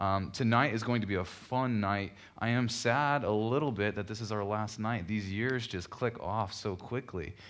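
Fairly low male voice at a moderate pace, fairly even in intonation, with audible room echo. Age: young. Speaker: pastor. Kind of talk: sermon.

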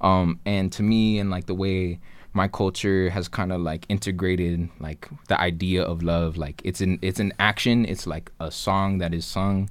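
Fairly even intonation in an American accent, with hardly any pauses. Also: man, very deep, low pitch for a man, moderate pace. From Tucson, Arizona, US Southwest. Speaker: rapper. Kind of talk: casual chat. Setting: studio.

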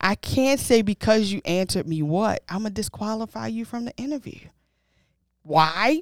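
A woman with a normal speaking voice talks at a moderate pace, fairly high in pitch, with lively intonation and big swings in loudness. The recording is very clean, dry and close, with a silent background and no echo. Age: 30s. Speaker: podcast co-host. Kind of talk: casual chat.

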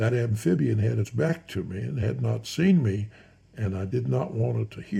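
The reading voice is unforced. Pitch moves in an ordinary way.

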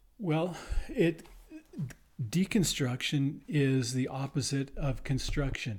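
Somewhat breathy and fairly high-pitched, a man speaks very slowly with long, frequent pauses and ordinary pitch variation. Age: 60s. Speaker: teacher and band director. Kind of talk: casual chat.

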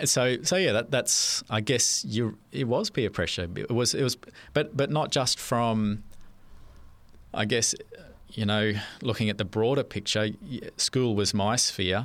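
On a very clean recording with a silent background, a man with an Australian accent speaks at a fairly slow pace in a medium pitch, with ordinary pitch variation and very even loudness. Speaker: church member sharing life story. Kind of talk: testimony. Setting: studio. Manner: hesitant, many fillers.

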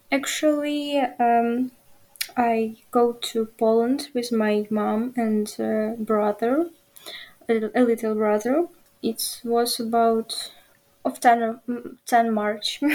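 Fairly high-pitched and dark, mellow in tone, a woman talks with a Ukrainian accent and fairly even intonation. She goes at a very slow pace with long, frequent pauses. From Ukraine. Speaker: journalism student. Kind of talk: interview. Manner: halting.

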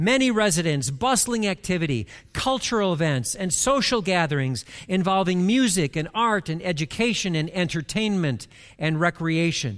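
In a very clean recording with a silent background, a man speaks at a moderate pace. His pitch is high for a man, and his intonation is lively. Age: 60s. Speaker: pastor. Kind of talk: sermon. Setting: church.

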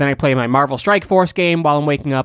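A man's fairly high voice, a plain, everyday voice, with ordinary pitch variation. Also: very clean recording, silent background. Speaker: comedy podcast co-host. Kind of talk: casual chat.

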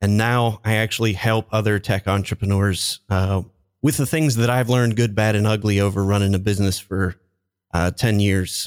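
A man's plain, everyday voice, fairly low in pitch, at a moderate pace with fairly even intonation and very even loudness, in a very clean, dry, close recording with no echo and a silent background. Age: 40s. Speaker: LinkedIn marketing consultant, former IT business owner. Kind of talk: interview.

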